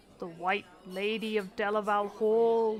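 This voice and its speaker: With music in the background, a woman does a put-on character voice at a medium pitch, fairly slow and monotone. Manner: exaggerated, spooky.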